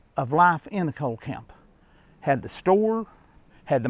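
This man's lively intonation comes at a moderate pace, with a dry sound and no echo. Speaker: vlogger explorer. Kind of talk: casual vlog commentary. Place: open country. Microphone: phone near.

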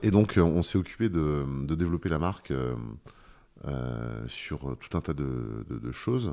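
A man speaks in a dark, mellow tone with very wide pitch swings. The recording is very clean, with a silent background. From Brittany, France (Douarnenez). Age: 50s. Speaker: painter. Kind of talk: interview. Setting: at the host's home. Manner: halting, many hesitations and repeated words.

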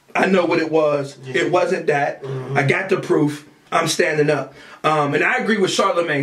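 Amid a quiet background with audible room echo, a man speaks in an animated tone with ordinary pitch variation. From US. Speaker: podcast co-host. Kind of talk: casual chat. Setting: studio. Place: studio.

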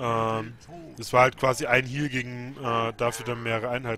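A man speaks with a medium pitch. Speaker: game commentator. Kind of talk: live game commentary.

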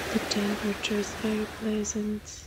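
Over noticeable background noise, a woman speaks in a soothing, calm tone at a fairly slow pace and a medium pitch. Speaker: guided meditation leader. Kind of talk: guided meditation, calm soothing narration of a beach sunrise scene. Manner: soothing, calm and unhurried.

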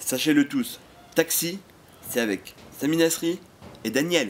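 A man's fairly high voice with lively intonation, at a very slow pace with long, frequent pauses, over light background noise. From Paris. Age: 20s. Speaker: youtuber. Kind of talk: casual talk to camera. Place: garden. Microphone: lapel.

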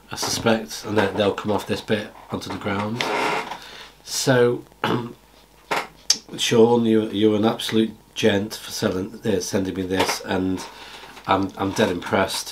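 Against noticeable background noise, a man speaks fairly slowly at a fairly low pitch in a flat monotone, with long, frequent pauses. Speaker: amateur radio vlogger. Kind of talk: casual vlog chat. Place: home room.

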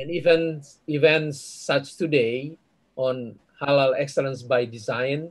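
Against a quiet background, a man speaks in a somewhat breathy, fairly high voice. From Indonesia. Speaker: business school director. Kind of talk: closing remarks. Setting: video call. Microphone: video call.

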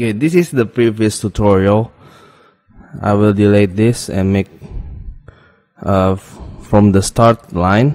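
Over music in the background, a man with a fairly low pitch and ordinary pitch variation talks at a fairly slow pace with long, frequent pauses. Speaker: coding tutorial youtuber. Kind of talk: screen-recorded coding tutorial. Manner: quiet, not loud; hesitant, many fillers.

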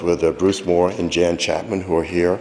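At a fairly slow pace, a man speaks in a very deep, low pitch. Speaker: conservation commission chairman. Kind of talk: public comment at town council meeting. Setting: town council meeting. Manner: halting, many fillers.

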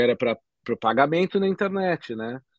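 Lively intonation marks this man's speech at a moderate pace. The sound is dry with no echo over a quiet background. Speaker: bitcoin entrepreneur; podcast guest. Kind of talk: casual interview. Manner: halting, many fillers. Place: home room. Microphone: video call.

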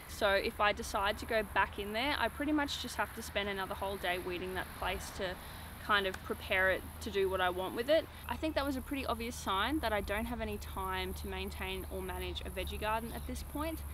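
A woman's fairly quick speech, dry with no echo, over noticeable background noise. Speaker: off-grid lifestyle vlogger. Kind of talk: casual vlog chat. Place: garden.

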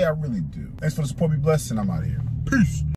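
Faint music plays behind a man whose voice is dry with no echo. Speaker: food reviewer vlogger. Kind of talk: casual vlog chat. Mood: joking, mildly complaining. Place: car. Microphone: phone near.

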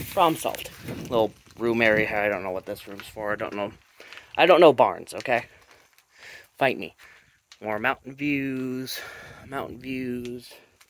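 The speaker keeps a moderate pace, broken by long, frequent pauses. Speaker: explorer vlogger. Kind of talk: casual vlog chat. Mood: joking, lighthearted. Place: farm machine. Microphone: phone near.

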